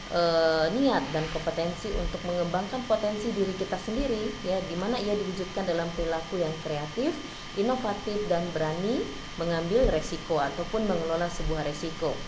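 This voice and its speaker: A woman with a non-native accent talks at medium pitch and a fairly quick pace, with ordinary pitch variation. Audible room echo and noticeable background noise fill the recording. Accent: non-fluent Indonesian, self-described. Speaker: university lecturer. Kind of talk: lecture.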